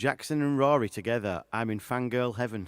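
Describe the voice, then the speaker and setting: Speaking with a Yorkshire accent at a medium pitch, a man shows ordinary pitch variation on a very clean recording with a silent background. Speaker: singer-songwriter hosting a live show. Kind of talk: casual live-stream chat. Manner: loud.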